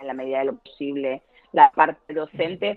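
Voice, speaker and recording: A woman speaks in a Murcian accent at a fairly slow pace. Her intonation is lively. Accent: southern Spanish (Murcian), still present. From Murcia, Spain. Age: 40s. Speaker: family lawyer. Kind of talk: casual interview.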